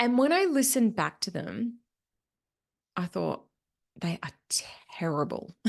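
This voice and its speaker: A woman with a Queensland accent, fairly high in pitch, with very wide pitch swings and long, frequent pauses. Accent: Australian, Queensland. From Australia, Queensland. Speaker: podcast host, business money mentor. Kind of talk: solo podcast reflection.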